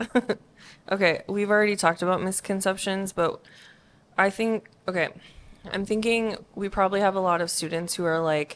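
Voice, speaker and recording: Speaking at a moderate pace with long, frequent pauses, a woman with a medium pitch keeps her intonation fairly even on a very clean recording with a silent background. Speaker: youth leader, podcast co-host. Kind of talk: casual chat. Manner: not loud.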